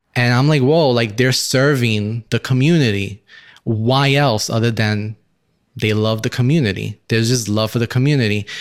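In a very clean recording with a silent background, a man with an American accent speaks in a normal speaking voice at a medium pitch with fairly even intonation. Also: moderate pace. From Brooklyn, New York City. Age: young. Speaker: engineer, church member. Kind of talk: testimony.

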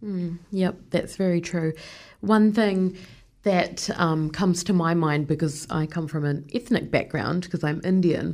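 A woman's fairly low voice in a New Zealand accent, fairly slow, with ordinary pitch variation. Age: 30s. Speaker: podcast host. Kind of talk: interview.

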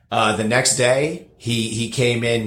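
A medium-pitched man with an American accent and audible room echo. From New Jersey, near New York. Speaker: bartender. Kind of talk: casual interview. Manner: halting, repeats words.

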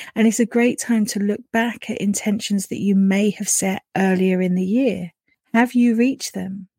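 Woman's medium-pitched voice in a British accent, soothing and gentle with a dark, mellow tone and fairly even intonation, in a dry, close sound with no echo. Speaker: podcast host and spiritual coach. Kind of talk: guided meditation. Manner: slow, soothing, gentle; calm, warm, dreamy.

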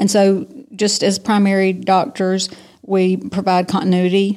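A woman speaks with a Southern US accent at medium pitch. Her tone is dark and mellow, her intonation monotone and flat. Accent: Southern US (Georgia). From US South, south Georgia. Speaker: physician. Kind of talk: interview. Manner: hesitant with many fillers.

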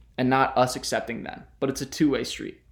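A man speaks in a plain, everyday voice, pitched fairly high, at a fairly quick pace. The recording is very clean with a silent background. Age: 20s. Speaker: podcast host, college student. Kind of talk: solo podcast monologue.

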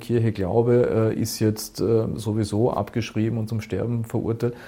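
A man's medium-pitched, somewhat breathy voice with a dark, mellow tone, on a very clean recording with a silent background. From Austria, Burgenland. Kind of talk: interview.

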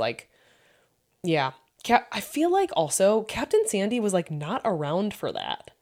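A woman with a plain, everyday voice, lively intonation and a moderate pace. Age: 30s. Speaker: podcast co-host. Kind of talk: casual chat.

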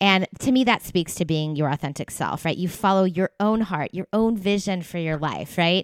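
A woman's normal speaking voice at medium pitch, with an American accent, a moderate pace, hardly any pauses and ordinary pitch variation, recorded dry and close with no echo. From US East Coast. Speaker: podcast host, physical therapist. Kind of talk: casual interview.

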